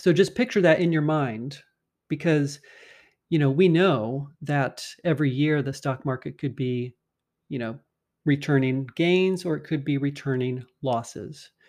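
Over a quiet background, a man with an ordinary speaking voice talks fairly slowly, fairly high in pitch and with ordinary pitch variation. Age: 50s. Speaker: personal finance podcast host. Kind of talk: solo podcast monologue explaining finance. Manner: conversational.

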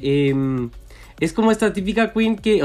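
A man speaks in a Chilean accent at a moderate pace. His intonation is lively, and the background is quiet. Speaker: podcast co-host. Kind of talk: casual chat.

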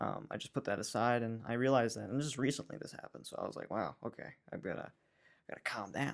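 A man with an American accent talks at a very fast pace in a medium-pitched voice with vocal fry and fairly even intonation. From New York. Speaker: Bible school friend of the host. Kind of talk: casual chat.

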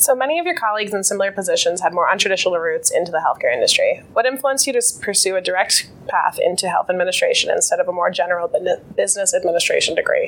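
The voice moves at a very fast pace with very even loudness. Noticeable background noise runs underneath. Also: woman. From New Hampshire, Dover. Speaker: university student interviewer. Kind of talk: interview.

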